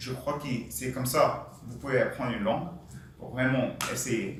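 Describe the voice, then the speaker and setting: A man is speaking with audible room echo. Noticeable background noise runs underneath. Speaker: panelist, Indian engineer working in France. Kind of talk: panel discussion talk. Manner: hesitant non-native French.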